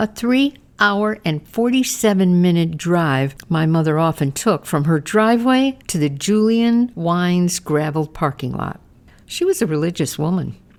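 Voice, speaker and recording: In a very clean recording with a silent background, a woman with a normal speaking voice and a fairly low pitch talks at a fairly slow pace with lively intonation. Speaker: memoir narrator, caregiver. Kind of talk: podcast memoir narration.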